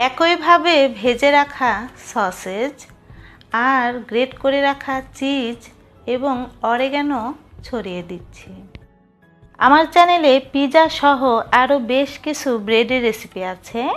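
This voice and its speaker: A woman speaks with a high voice. Music plays in the background. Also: ordinary pitch variation. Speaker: home cooking channel host. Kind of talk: recipe tutorial narration.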